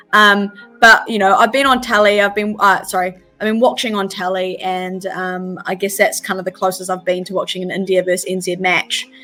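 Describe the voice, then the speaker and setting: With music in the background, a woman of medium pitch speaks at a fairly quick pace with fairly even intonation. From New Zealand, Wellington. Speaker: cricketer. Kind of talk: interview. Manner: hesitant, many fillers and repeats.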